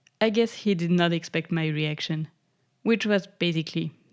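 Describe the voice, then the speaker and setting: On a very clean recording with a silent background, a woman with a French accent speaks fairly slowly at a fairly low pitch. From France. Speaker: podcast host. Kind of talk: podcast monologue. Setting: home recording.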